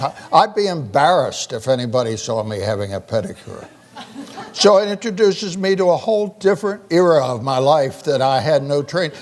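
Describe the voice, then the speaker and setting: Very wide pitch swings from a man at a fairly quick pace, over noticeable background noise. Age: 80s+. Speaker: physician and keynote speaker on aging. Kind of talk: keynote speech.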